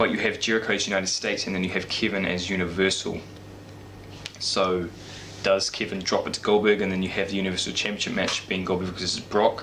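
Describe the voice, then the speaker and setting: A man speaks quietly and very fast in a very deep, low pitch, his intonation monotone and flat. Noticeable background noise and audible room echo surround his voice. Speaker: wrestling YouTuber. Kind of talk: casual vlog predictions. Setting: home at night, parents asleep. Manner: speaking quietly; halting.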